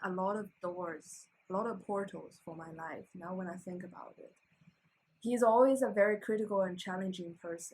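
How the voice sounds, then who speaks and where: A woman with a Chinese accent speaks at a medium pitch and a moderate pace. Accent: reduced Chinese. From China, Shandong province. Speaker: PhD student. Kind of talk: casual interview conversation. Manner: halting, with many fillers and restarts.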